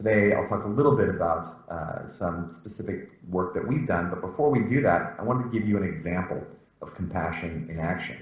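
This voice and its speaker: A man with lively intonation, audible room echo and noticeable background noise in the recording. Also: fairly low pitch for a man, fairly quick pace. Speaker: professor. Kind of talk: lecture. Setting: video call.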